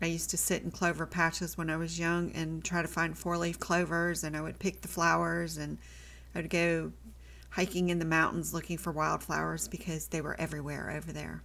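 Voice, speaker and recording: Here a woman talks at a fairly quick pace. She has an American accent. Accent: southern US, comes out at times. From US South, army family moving around incl. Germany. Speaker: watercolor art teacher. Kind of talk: tutorial. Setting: home art studio. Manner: casual, chatty.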